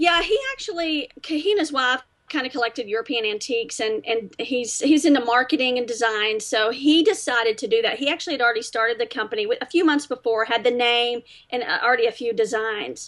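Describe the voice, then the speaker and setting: This woman talks with a Southern accent at a fairly quick pace. Her pitch is high, with ordinary variation. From Texas. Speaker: business owner. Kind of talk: interview.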